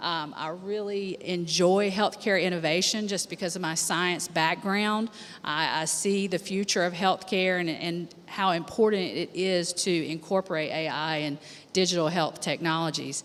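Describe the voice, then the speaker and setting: At a moderate pace, a woman speaks in a plain, everyday voice with an American accent. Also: fairly low pitch for a woman, fairly even intonation. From USA. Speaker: healthcare attorney. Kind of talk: conference panel introduction.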